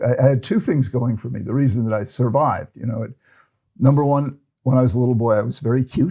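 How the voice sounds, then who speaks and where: A man with an American accent talks at a very fast pace. His tone is dark and mellow and somewhat breathy. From United States. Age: 70s. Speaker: psychiatrist and ADHD expert. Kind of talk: interview conversation. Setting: podcast recording in London. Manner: halting, many repetitions.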